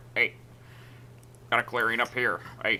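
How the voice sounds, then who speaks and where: A man puts on a character voice at a medium pitch, with clear background noise behind him. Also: moderate pace. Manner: calling out from a distance.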